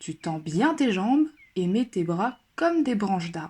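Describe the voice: Simply plain reading aloud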